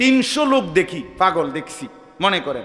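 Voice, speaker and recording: With an animated tone and ordinary pitch variation, a man is talking. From Bangladesh. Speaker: Islamic preacher. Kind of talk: sermon. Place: stage. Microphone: podium.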